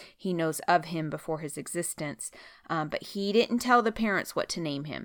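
Here a woman with a plain, everyday voice and an American accent speaks at a fairly low pitch and moderate pace with lively intonation, in a very clean recording with a silent background. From US West (Oregon). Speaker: Bible commentary podcaster. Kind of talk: Bible commentary, casual talk. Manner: casual, many filler words.

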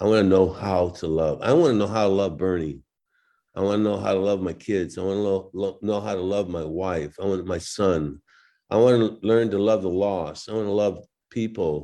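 This man's voice sits fairly low and has a dark, mellow tone, with ordinary pitch variation. He keeps a moderate pace against a quiet background. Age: 70s. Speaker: former baseball player. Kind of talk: casual chat.

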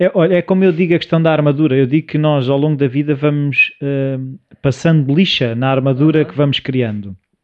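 A man talks at a fairly quick pace with hardly any pauses. His fairly high-pitched voice has ordinary pitch variation. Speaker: podcast co-host. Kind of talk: casual chat. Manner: animated, joking.

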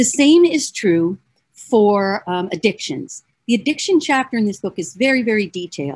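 At a moderate pace, a woman's fairly high, somewhat breathy voice moves through very wide pitch swings. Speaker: psychologist and radio show host. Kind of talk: solo talk show monologue promoting a self-help book. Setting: video stream with screen sharing. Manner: animated.

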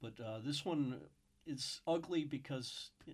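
A man speaks in an American accent at a medium pitch. His pitch varies in an ordinary way. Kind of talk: casual news discussion. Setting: studio. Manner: halting.

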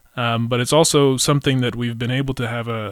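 With an American accent and an unremarkable speaking voice, a man talks at a fairly quick pace and medium pitch, with fairly even intonation and a dry, close sound with no echo.

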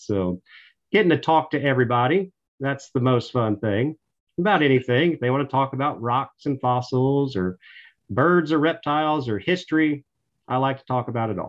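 Speaking at a moderate pace, a man with a Tennessee accent shows ordinary pitch variation. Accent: Southern US (Tennessee). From Middle Tennessee, US South. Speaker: park ranger. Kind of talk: interview. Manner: talkative.

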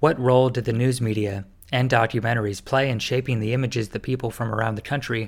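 In a plain, everyday voice with an American accent, the speaker goes at a fairly quick pace with fairly even intonation, in a very clean recording with a silent background. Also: man. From Winston-Salem, North Carolina. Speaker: podcast host. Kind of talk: interview with scripted intro.

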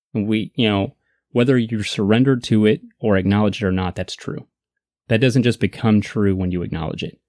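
Recorded very cleanly against a silent background, with a dry, close sound and no echo, a man talks at a fairly low pitch and a moderate pace with ordinary pitch variation. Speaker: podcast host. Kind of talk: casual chat. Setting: studio.

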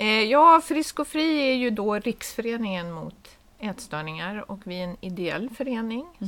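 Speaking at a very slow pace with lively intonation, the voice comes through on a very clean recording against a silent background. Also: woman. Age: 50s. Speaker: head of a nonprofit association. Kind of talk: casual chat.

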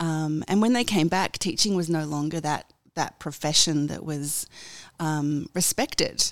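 A woman with an Australian accent, very deep and low in pitch, at a fairly slow pace with ordinary pitch variation. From Australia, Sydney. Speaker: radio executive. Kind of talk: interview. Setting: office.

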